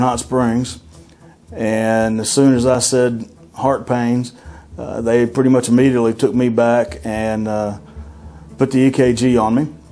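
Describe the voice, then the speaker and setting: Noticeable background noise runs under a man's voice. He speaks at a moderate pace and medium pitch with fairly even intonation. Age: 50s. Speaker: heart attack survivor. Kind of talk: testimony. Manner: hesitant, many uh fillers.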